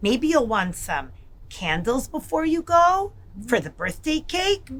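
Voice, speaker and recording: A woman in a put-on character voice speaks fairly slowly at a high pitch, her pitch swinging very widely. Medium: read story. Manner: warm, friendly.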